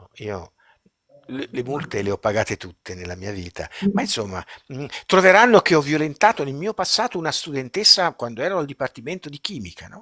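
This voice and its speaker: A man's fairly high, bright and sharp voice with vocal fry, fairly quick pace, very wide pitch swings and big swings in loudness, dry and close with no echo. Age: 70s. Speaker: retired chemistry professor and researcher. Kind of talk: live-stream interview. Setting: live stream. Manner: animated.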